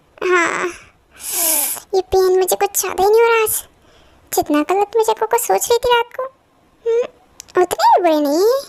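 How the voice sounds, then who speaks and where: Using a put-on character voice at an extremely high pitch, a woman talks at a moderate pace with ordinary pitch variation and long, frequent pauses. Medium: fan dub. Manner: soft, pleading.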